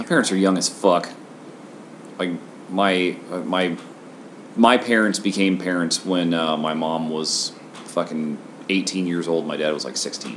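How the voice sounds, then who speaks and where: Over noticeable background noise, a man with a very deep, low voice speaks at a fairly slow pace, pausing long and often, with ordinary pitch variation. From Washington State, US. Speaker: podcast host. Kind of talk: casual chat.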